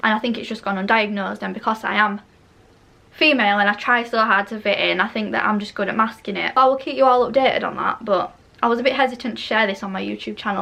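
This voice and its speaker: Delivered at a very fast pace, the voice carries a Yorkshire accent and fairly even intonation. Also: woman. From northern England, Barnsley, South Yorkshire. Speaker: beauty YouTuber. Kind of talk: casual chat. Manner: chatty, rambling.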